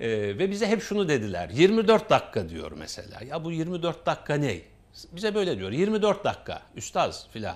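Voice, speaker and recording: At a moderate pace, a man speaks with a high pitch, very wide pitch swings and big swings in loudness. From Turkey, Samsun Ladik; Turkey. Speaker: associate professor. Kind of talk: casual interview chat. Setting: TV studio. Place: studio. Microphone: lapel.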